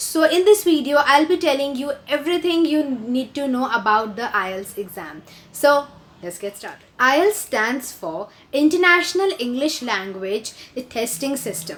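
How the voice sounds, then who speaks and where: A woman with an Indian accent speaks at a high pitch. Her pitch swings very widely and her loudness shifts a lot. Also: fairly slow pace. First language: Hindi. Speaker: video blogger. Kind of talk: tutorial. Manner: hesitant, many fillers.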